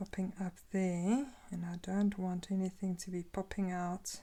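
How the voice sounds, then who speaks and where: A very slow, somewhat breathy woman's voice, medium in pitch, with a dark, mellow tone. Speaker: craft video maker. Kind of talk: tutorial. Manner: halting.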